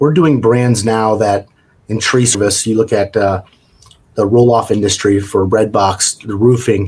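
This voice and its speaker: A man speaks at a fairly slow pace in a fairly low pitch, his voice somewhat breathy and his intonation fairly even. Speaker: franchise executive. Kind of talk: interview.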